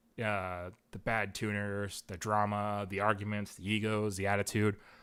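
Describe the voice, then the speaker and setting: A man with a fairly low voice speaks in a monotone, flat intonation on a very clean recording with a silent background. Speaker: car tuner and educator. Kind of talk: live-streamed tutorial. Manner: fast; casual, filler-heavy.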